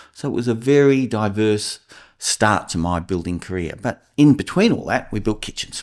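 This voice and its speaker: A man speaks with an Australian accent at a fairly quick pace, his voice set fairly low. His intonation is lively, and the recording is very clean with a silent background. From Australia, New South Wales (Port Stephens). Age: 60s. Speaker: builder and house inspector. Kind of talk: podcast interview.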